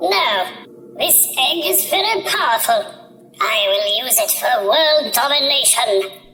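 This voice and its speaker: A female-sounding put-on character voice, high in pitch, goes at a fairly slow pace with hardly any pauses. Clear background noise is present. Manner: menacing, villainous.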